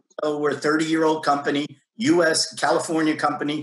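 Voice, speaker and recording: A man speaks with a fairly high pitch. His pace is fairly quick. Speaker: tech company sales executive. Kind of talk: panel discussion. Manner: fast.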